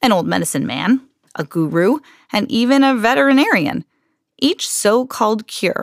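A passage is read aloud in a natural voice, the intonation lively and varied. Little else can be heard around it.

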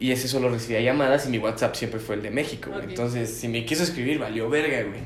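A man talks at a very fast pace and medium pitch with ordinary pitch variation, amid audible room echo and noticeable background noise. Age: 20s. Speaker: podcast co-host. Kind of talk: casual chat. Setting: at home.

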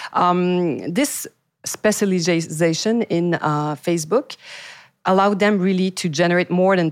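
A woman with a Quebec accent, fairly low in pitch, at a fairly slow pace, in a very clean recording with a silent background and a dry, close sound with no echo. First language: French. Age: 40s. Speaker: podcast host, PR agency owner. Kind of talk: interview. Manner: halting.

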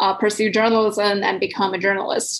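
A woman with a Chinese accent, medium pitch, monotone, flat intonation and a moderate pace. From southern China. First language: Mandarin Chinese. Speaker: PhD researcher. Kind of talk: podcast interview. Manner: halting.

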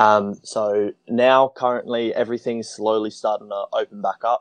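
With an Australian accent, a man speaks at a fairly low pitch in a monotone, flat intonation. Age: 20s. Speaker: traveler. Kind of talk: casual chat.

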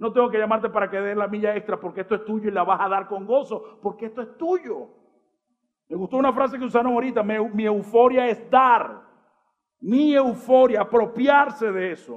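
This man's voice sits high in pitch, and he talks at a moderate speed. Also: ordinary pitch variation. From Venezuela. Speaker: pastor. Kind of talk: sermon. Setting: church stage with audience.

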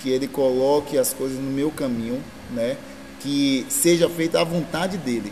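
With noticeable background noise behind him, a fairly high-pitched man talks at a moderate speed. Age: 30s. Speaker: local politician. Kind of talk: interview.

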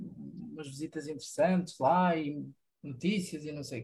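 This is an unremarkable speaking voice delivered at a moderate pace. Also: man. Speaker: environmental engineer, community garden member. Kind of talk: radio interview.

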